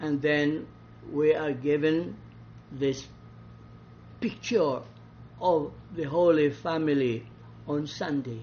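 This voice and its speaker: With a Visayan Filipino accent, a man speaks at a very slow pace and a fairly high pitch. Long, frequent pauses break up his speech. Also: ordinary pitch variation. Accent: Filipino (Cebuano) English. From Philippines, Cebu. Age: 80s+. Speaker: priest and Bible teacher. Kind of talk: Bible study talk.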